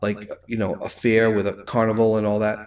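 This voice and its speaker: A man talks with a strong Rhode Island accent. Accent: thick Rhode Island. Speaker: livestream host. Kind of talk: casual chat. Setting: livestream.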